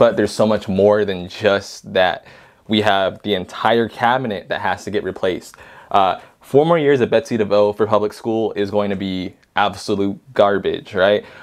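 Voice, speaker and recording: Against a quiet background, a man talks at a moderate pace in an ordinary speaking voice with a fairly low pitch. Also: fairly even intonation. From southern California. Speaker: podcast guest, father. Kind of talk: casual conversation.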